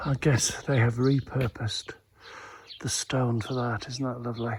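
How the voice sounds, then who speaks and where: A man talks at a medium pitch in a relaxed tone. His intonation stays monotone and flat, with noticeable background noise behind him. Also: moderate pace. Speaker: travel vlogger on pilgrimage. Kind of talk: walking travelogue vlog. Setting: outdoors walking through village. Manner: relaxed, musing; whispering.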